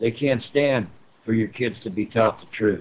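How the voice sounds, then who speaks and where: A man uses a normal speaking voice, pitched at a medium level with ordinary pitch variation. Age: 60s. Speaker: military veteran. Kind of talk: casual interview.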